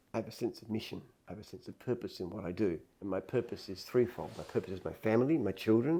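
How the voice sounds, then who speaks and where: With an Australian accent, a man rattles along at a very fast pace in a dark, mellow tone, his medium pitch showing ordinary variation while loudness swings widely. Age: 70s. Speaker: entrepreneur. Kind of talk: interview. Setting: office headquarters.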